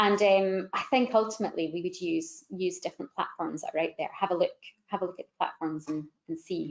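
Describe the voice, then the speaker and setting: A woman's medium-pitched voice at a fairly quick pace, with big swings in loudness. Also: ordinary pitch variation. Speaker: digital marketing consultant. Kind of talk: webinar panel discussion. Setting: online webinar. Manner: fast.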